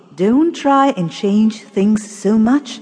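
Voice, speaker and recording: Noticeable background noise sits behind a woman who talks at a very slow pace. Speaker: audiobook narrator. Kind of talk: scripted narration; children's audiobook storytelling with character voices. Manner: dramatic, expressive, voicing the characters.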